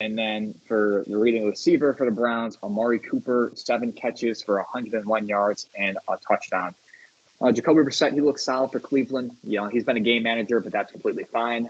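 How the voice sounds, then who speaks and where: This is an unremarkable speaking voice. A man talks at a medium pitch and a fairly quick pace with fairly even intonation. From US Northeast, Syracuse, New York. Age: 20s. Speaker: sports podcast host. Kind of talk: casual podcast chat; stats rundown. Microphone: connection issues, static.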